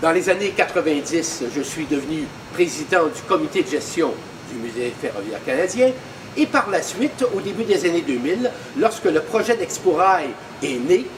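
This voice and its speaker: Amid noticeable background noise, a high-pitched man speaks at a moderate pace with very wide pitch swings and long, frequent pauses. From Quebec, Montreal. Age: 70s. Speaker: museum volunteer. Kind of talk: personal testimony.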